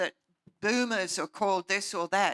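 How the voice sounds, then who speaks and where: A woman speaks with an Australian accent in a bright, sharp tone. The sound is dry and close, with no echo. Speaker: panelist. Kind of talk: panel discussion.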